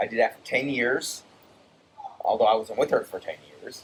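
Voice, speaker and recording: The speaker is a man with an American accent. He goes at a fairly slow pace over noticeable background noise. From Brazil, later New York and South Florida. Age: 50s. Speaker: war veteran. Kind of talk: casual chat. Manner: halting, many repeats and restarts.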